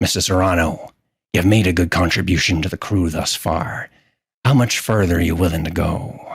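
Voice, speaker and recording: A man uses a put-on character voice, very deep and low. He speaks at a moderate pace. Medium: actual play. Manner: commanding, blunt.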